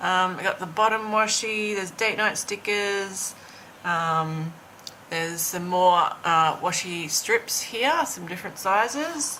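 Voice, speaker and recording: A woman's medium-pitched voice, very slow and with lively intonation, over noticeable background noise. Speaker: planning and lifestyle vlogger. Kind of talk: tutorial. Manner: hesitant, many fillers.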